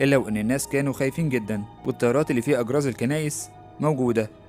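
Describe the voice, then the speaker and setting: A man at medium pitch, very fast, with ordinary pitch variation and music in the background. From Egypt. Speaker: YouTube narrator, horror program announcer. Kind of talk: film plot summary narration.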